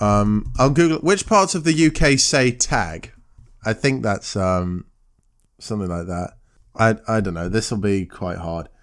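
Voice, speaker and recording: A man at a fairly low pitch and fairly slow pace, with very wide pitch swings. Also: very clean recording, silent background. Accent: southern English. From south of England. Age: 20s. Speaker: podcast host. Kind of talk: casual chat.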